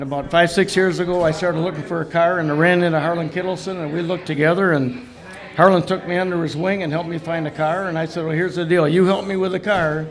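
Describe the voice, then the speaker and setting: Over light background noise, a man with an Upper Midwest accent talks at a very fast pace. His voice is high-pitched, with fairly even intonation. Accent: Upper Midwest American. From Wisconsin. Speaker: race car owner; guest. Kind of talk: interview. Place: studio. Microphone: studio mic.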